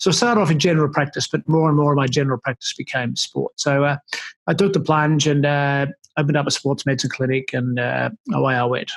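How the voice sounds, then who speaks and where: A man with an Australian accent talks at a very fast pace. His pitch is fairly high with ordinary variation. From Australia, Melbourne. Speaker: sports medicine doctor. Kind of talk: interview. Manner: hesitant, many fillers.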